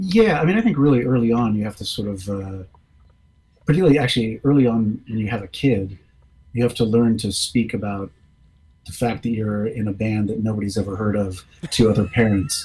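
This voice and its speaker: A man's dark, mellow voice at a medium pitch, somewhat breathy, with ordinary pitch variation. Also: fairly quick pace. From Washington DC. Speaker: rock musician. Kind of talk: casual chat.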